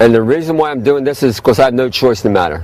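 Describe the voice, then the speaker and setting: A man's medium-pitched voice shows ordinary pitch variation against noticeable background noise. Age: 60s. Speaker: health food store owner. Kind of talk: informal health talk to camera. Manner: fast; halting, many fillers.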